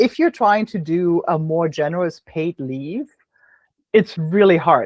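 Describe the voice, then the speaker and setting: The speaker talks at a moderate pace with a German accent. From Germany. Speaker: business podcast host. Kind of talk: casual interview conversation. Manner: halting, many fillers and repeats.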